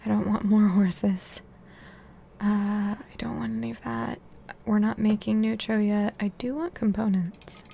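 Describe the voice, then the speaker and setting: Speech comes at a fairly slow pace. The speaker is soft-spoken. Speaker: video game streamer. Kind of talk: casual gameplay commentary.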